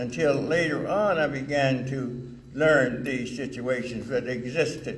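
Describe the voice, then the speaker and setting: Through audible room echo and noticeable background noise, a man speaks with a fairly high pitch. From US South (Alabama/Mississippi). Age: 80s+. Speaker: retired firefighter and honoree. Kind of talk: award acceptance speech. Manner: halting.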